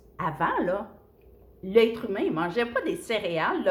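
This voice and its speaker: Somewhat breathy and fairly high-pitched, a woman with a Quebec accent speaks at a fairly slow pace. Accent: Québécois French. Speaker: nutrition coach. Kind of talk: casual video talk. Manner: chatty.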